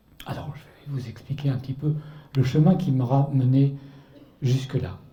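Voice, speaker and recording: A man with a fairly high pitch speaks at a moderate pace in a dark, mellow, somewhat breathy tone. His intonation stays fairly even, and audible room echo surrounds the voice. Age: 60s. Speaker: author and artist giving a Lenten talk. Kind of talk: testimony talk to a church audience.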